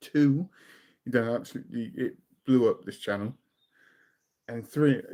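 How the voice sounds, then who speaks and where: With a British accent and a dark, mellow tone, a man speaks at a moderate pace and medium pitch with ordinary pitch variation. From southern England. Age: 40s. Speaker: music reaction youtuber. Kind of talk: casual chat. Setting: live stream.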